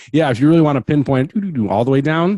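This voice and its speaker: The man has a Wisconsin accent and a dark, mellow tone. His intonation is lively, and the sound is dry and close, with no echo. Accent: Wisconsin accent, noticeable. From Wisconsin, Manitowoc area. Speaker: podcast host. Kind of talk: casual interview as guest. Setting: home basement studio. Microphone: good mic and headset.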